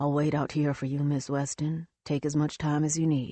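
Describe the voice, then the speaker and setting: Doing a put-on character voice, a woman speaks at a very deep, low pitch in a monotone, flat delivery. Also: moderate pace. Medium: read story. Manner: polite, formal.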